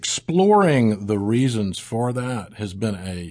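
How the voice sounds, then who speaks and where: Over a quiet background, a man with a Southern US accent speaks at a fairly slow pace. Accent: Southern American. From US South, South Mississippi. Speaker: pastor. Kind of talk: interview.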